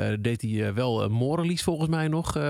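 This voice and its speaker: A man with an ordinary speaking voice, medium in pitch and with ordinary pitch variation, is heard on a very clean recording with a silent background. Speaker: radio DJ. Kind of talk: casual chat.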